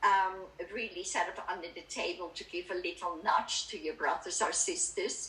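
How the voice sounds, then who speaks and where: A woman with a Dutch accent speaks at a moderate pace. Audible room echo surrounds her voice. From Netherlands. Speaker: spiritual speaker. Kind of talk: talk at a spiritualist church service. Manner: calm, reflective.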